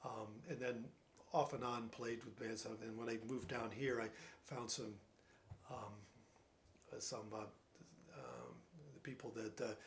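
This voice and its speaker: In a northern US accent, the speaker goes fairly slowly with fairly even intonation and long, frequent pauses, and room echo is audible. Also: man, medium pitch for a man. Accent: northern US (Yankee). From New Jersey. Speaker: retired scientist, piano student. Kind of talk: casual interview. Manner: halting, many fillers and repeats.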